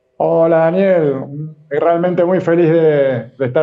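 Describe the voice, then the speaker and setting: The man's voice sits fairly high and varies in pitch in an ordinary way. Audible room echo surrounds it. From Argentina. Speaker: communicator and influencer. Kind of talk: interview.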